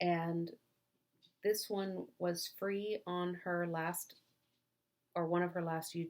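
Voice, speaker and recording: A woman with an American accent speaks at a fairly low pitch. Her delivery is very slow and flat, in a monotone. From US South, North Alabama. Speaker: craft vlogger. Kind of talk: casual chat.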